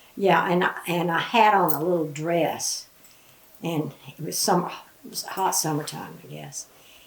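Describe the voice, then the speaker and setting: A woman with a Southern Appalachian accent, fairly low pitch, moderate pace and fairly even intonation, over noticeable background noise. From western North Carolina and East Tennessee. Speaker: grandmother interviewee. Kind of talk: oral history interview.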